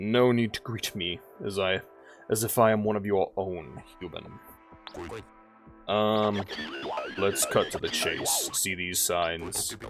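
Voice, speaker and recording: Over clear music in the background, a man does a put-on character voice at a fairly low pitch, talking at a fairly slow pace with long, frequent pauses. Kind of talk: formal, robotic, stilted. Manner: put-on stilted character voice.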